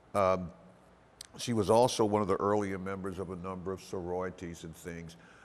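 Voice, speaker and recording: A man with an American accent, very deep and low in pitch, at a fairly quick pace, with monotone, flat intonation. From Washington, D.C. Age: 60s. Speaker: oral history interviewee. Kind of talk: interview. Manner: halting.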